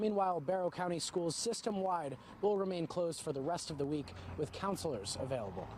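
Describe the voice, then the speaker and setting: A man talks at a moderate pace with ordinary pitch variation. His pitch is high. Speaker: TV news reporter. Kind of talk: TV news reporting, live and packaged.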